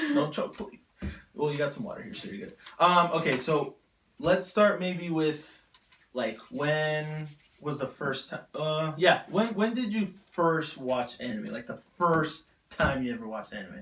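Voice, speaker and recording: A man with a fairly high pitch speaks at a fairly slow pace, his lively intonation paired with big swings in loudness. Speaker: anime podcast host. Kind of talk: casual chat. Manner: animated.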